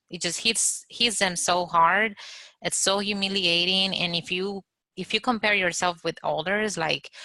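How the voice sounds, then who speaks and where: A woman with a non-native accent speaks at a fairly slow pace with medium pitch. Her tone is bright and sharp, her intonation fairly even. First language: not English. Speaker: architecture exam candidate. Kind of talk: group video meetup discussion. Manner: halting, repeats words.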